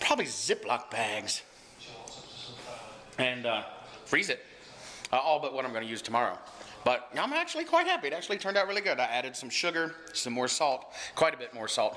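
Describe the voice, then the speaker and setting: A man talks fairly quickly with an American accent, breaking often for long pauses. Noticeable background noise runs underneath. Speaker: vlogger. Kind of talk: casual vlog. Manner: animated.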